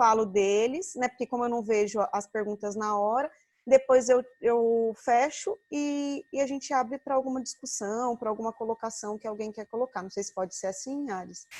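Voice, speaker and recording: In an ordinary speaking voice with a fairly high pitch, a woman talks at a moderate pace with ordinary pitch variation and hardly any pauses. The sound is dry and close with no echo, over a quiet background. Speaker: occupational therapist and lecturer. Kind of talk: online lecture.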